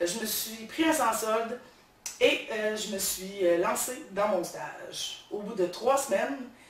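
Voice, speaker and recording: Audible room echo and noticeable background noise around a woman speaking with very wide pitch swings. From Quebec, Beauce region. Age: 30s. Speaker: social worker, game show applicant. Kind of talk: audition video monologue. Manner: hesitant, many fillers.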